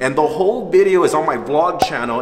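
Clear music sits in the background as a man speaks at a fairly quick pace. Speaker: video creator. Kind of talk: energetic vlog chat. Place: hall. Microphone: phone near.

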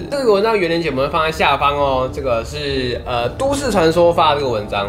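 A man's voice over clear music in the background. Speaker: youtube host. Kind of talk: casual vlog chat. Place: home room.

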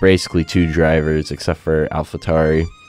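Background music is audible throughout. The man's delivery is moderately paced. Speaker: gaming YouTuber. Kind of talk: gameplay commentary. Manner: casual, hesitant with fillers.

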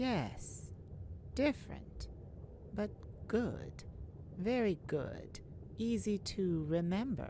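A woman's put-on character voice at medium pitch, with big pitch swings, a very slow pace and long, frequent pauses.

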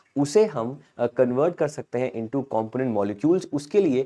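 A man with a dark, mellow tone speaks at a fairly slow pace against a quiet background. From India. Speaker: online exam-prep teacher. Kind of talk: live-streamed current affairs lecture. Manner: animated. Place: studio. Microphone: lapel.

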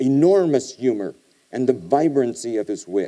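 In a quiet background, a man speaks at a fairly slow pace in a dark, mellow tone. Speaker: guest lecturer. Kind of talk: lecture. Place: hall. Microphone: podium.

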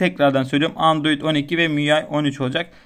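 The man has a fairly high pitch and an ordinary speaking voice. He speaks at a moderate pace against a quiet background. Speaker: tech YouTuber. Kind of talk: tutorial. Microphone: phone near.

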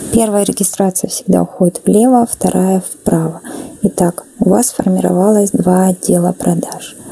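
Over noticeable background noise, a woman talks at a fairly slow pace at a medium pitch, her loudness very even and her intonation fairly even. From Kazakhstan. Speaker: network marketing presenter. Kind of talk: explanatory sales pitch.

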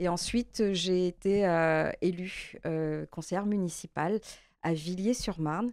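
Against a quiet background, a woman speaks at a very slow pace and a fairly low pitch, her intonation fairly even and her loudness very even, with a dry sound and no echo. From Martinique. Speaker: member of parliament, election candidate. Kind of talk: interview. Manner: halting, frequent hesitations. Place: studio.

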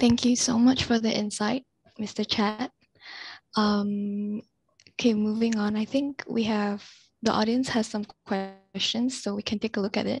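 Heard in a dry sound with no echo, a woman talks fairly slowly at a fairly high pitch. She sounds somewhat breathy, with monotone, flat intonation. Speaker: student moderator. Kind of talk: event moderation. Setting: video call. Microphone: headset.

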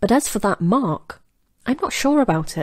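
Lively in intonation, a woman talks at a moderate pace against a quiet background. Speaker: voice-over artist. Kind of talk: audiobook short story reading. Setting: home studio. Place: studio.

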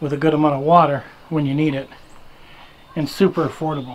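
A man talks at a fairly quick pace in a monotone, flat intonation. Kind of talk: tutorial. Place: garage. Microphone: phone near.

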